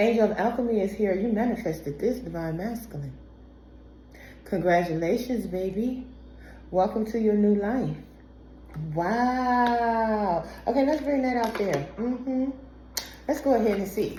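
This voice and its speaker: Amid audible room echo, a woman speaks at a fairly slow pace with long, frequent pauses, fairly high pitch, ordinary pitch variation and a somewhat breathy, dark, mellow tone. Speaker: tarot reader. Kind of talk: tarot reading. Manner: animated.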